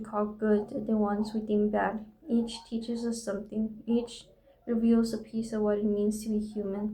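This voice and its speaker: Audible room echo surrounds a woman speaking with a non-native accent in monotone, flat intonation. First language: not English. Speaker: vlogger. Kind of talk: reading aloud from own journal; casual monologue. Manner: reflective.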